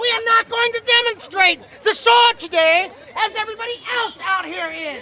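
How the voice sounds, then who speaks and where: This is a put-on character voice pitched extremely high. It moves at a moderate pace. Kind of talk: fairground showman, pirate barker. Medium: stage play. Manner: loud, commanding.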